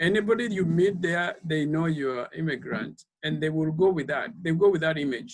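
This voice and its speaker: A man with a Kenyan accent speaks at a fairly high pitch, with hardly any pauses. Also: ordinary pitch variation, moderate pace. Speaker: speaker series organizer. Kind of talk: panel discussion. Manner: halting with many repetitions.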